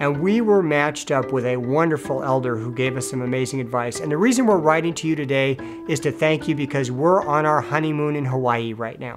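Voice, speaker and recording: A man talks at a fairly quick pace with hardly any pauses while clear music plays in the background. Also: ordinary pitch variation. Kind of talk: interview answer. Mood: warm, upbeat. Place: home room.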